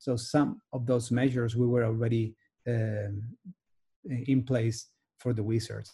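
Speaking at a very slow pace in a Spanish accent, a man has a medium pitch, a dark, mellow, somewhat breathy tone, and fairly even intonation. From Spain. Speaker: sports team physician. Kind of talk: interview. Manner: halting.

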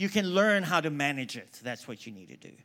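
This man's pitch leaps up and down across a very wide range as he talks. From South Africa. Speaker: preacher. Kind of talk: sermon. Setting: stage with audience.

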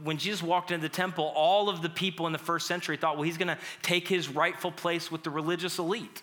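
Loud and animated, a man speaks with a high pitch and a bright, sharp tone. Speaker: pastor. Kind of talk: sermon.

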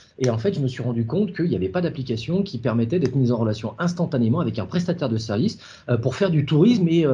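This man's voice is somewhat breathy. He talks at a very fast pace. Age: 40s. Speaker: app founder, former executive. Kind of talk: interview. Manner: halting, many repetitions.

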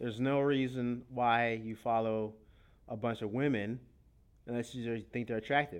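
A man talks at a moderate pace and medium pitch. It is an ordinary speaking voice with fairly even intonation. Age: 20s. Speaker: podcast host. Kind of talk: casual chat.

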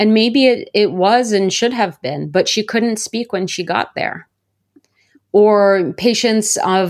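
Speaking in an ordinary speaking voice, a woman has a medium pitch. Her pitch varies in an ordinary way. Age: 30s. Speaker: author and university lecturer. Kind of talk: interview. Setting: remote recording.

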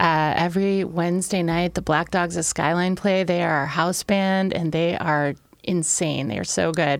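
An unremarkable speaking voice, a woman's, fairly low in pitch, at a moderate pace with fairly even intonation, on a very clean recording with a silent background. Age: 40s. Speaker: ex-offender turned bar entrepreneur. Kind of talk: casual interview chat.

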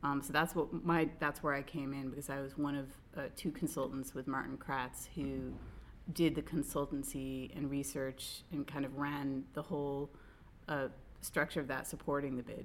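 A woman with a very deep, low pitch and vocal fry speaks at a moderate pace in a monotone, flat intonation. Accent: American. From United States. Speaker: podcast co-host. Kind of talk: casual chat.

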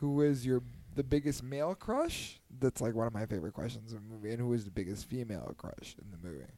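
Speaking very fast, a man uses lively intonation and a dark, mellow tone. His loudness swings widely. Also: medium pitch for a man. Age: 30s. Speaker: podcast host. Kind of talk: casual chat. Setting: home. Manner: animated.

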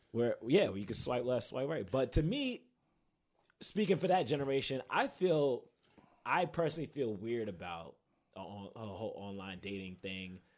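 With a New York accent, a man speaks with very wide pitch swings. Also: medium pitch for a man, moderate pace, big swings in loudness. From Queens, New York City. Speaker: podcast host, advertising professional. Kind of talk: casual chat. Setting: studio.

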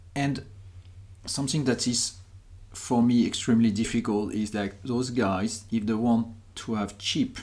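Spoken with a French accent, the voice moves at a fairly slow pace with fairly even intonation and long, frequent pauses. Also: man, medium pitch for a man. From France. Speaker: podcast host and company founder. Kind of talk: podcast interview. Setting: trade fair in Berlin.

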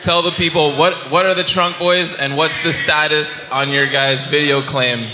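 A man with a fairly high pitch talks at a fairly slow pace with fairly even intonation. Audible room echo and noticeable background noise are present. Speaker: podcast host. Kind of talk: casual chat.

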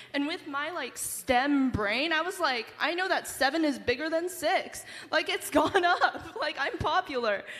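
Speaking at a fairly slow pace with an American accent, a woman uses an extremely high pitch and hardly any pauses. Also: ordinary pitch variation. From United States. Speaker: university student. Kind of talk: panel discussion. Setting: stage with audience.

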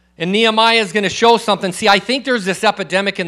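A raised, projected voice with a bright, sharp tone. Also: man. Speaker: guest preacher. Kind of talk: sermon. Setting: church with congregation. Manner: loud.

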